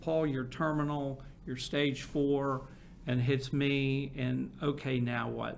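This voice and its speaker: The speaker talks at a very slow pace in a monotone, flat intonation. Room echo is audible. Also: man, fairly high pitch for a man. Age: 60s. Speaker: marketing agency founder and cancer patient. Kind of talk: interview.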